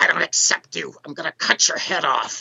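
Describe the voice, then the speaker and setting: This is a put-on character voice. It growls and sounds raspy. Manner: menacing.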